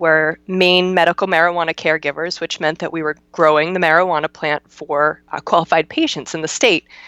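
In a dry, close recording with no echo and a quiet background, a woman with a normal speaking voice talks at a moderate pace, fairly low in pitch, with fairly even intonation. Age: 30s. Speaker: CBD business owner. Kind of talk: interview.

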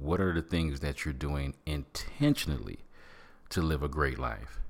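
Very deep, low male voice with vocal fry and an American accent. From Michigan. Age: 50s. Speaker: podcast host. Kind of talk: motivational monologue. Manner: animated.

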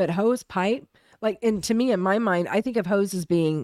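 A woman with an American accent speaks in an ordinary speaking voice at medium pitch, with ordinary pitch variation. The recording is very clean, with a silent background. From Oklahoma. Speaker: podcast co-host. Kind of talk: casual chat.

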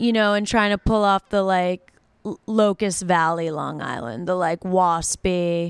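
On a very clean recording with a silent background and a dry, close sound with no echo, a woman in an ordinary speaking voice talks at a fairly slow pace, with a medium pitch and ordinary pitch variation. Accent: American. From outside Boston. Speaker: podcast co-host. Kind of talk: casual chat.

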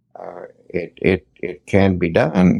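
A man's fairly low voice with vocal fry comes through dry and close with no echo. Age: 90s. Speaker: quilter and quilting teacher.

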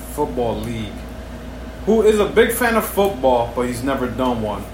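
A man speaks with an American accent. There is audible room echo and noticeable background noise. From New York City. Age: 40s. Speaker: podcast co-host. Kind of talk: casual chat.

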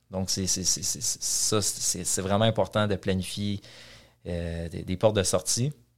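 A man speaks at a very slow pace in a fairly low voice with fairly even intonation, music playing in the background. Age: 30s. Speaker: real estate investor and developer. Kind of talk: interview.

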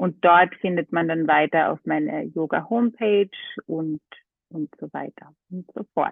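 In a normal speaking voice, a woman talks at a fairly slow pace with fairly low pitch, ordinary pitch variation and big swings in loudness. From Austria, Carinthia (half Greek). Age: 30s. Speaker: model and yoga teacher. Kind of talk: casual chat. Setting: phone call.

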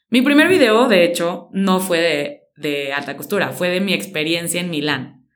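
A woman with a Mexican accent speaks at a fairly slow pace in a fairly low pitch. Her intonation is lively, and audible room echo surrounds her. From Mexico, San Luis Potosí. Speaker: fashion stylist and content creator. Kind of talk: interview.

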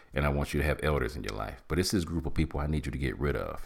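Vocal fry colors a man's animated tone in a very clean recording with a silent background. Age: 50s. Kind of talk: motivational talk.

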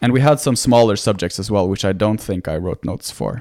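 A man speaks with a Norwegian accent. His intonation is lively. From Norway. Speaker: medical student. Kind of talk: casual interview. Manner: halting.

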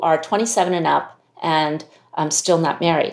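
On a very clean recording with a silent background, a woman with an American accent talks at a moderate pace in a fairly low pitch, an unremarkable speaking voice. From US (Chinese American). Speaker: CEO of a leadership institute. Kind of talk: interview conversation.

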